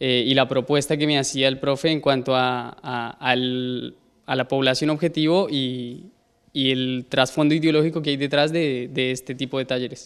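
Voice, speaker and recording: Speaking with a Colombian accent, a man uses a fairly high pitch and a moderate pace. His intonation stays fairly even against a quiet background. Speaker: university student and cook. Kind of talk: interview. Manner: hesitant, many fillers. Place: classroom. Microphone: handheld.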